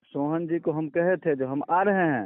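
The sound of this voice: Fairly high-pitched for a man, this speaker goes at a fairly slow pace with ordinary pitch variation.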